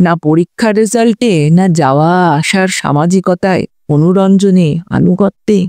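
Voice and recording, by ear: A natural voice reads aloud in quiet surroundings, with ordinary variation in pitch.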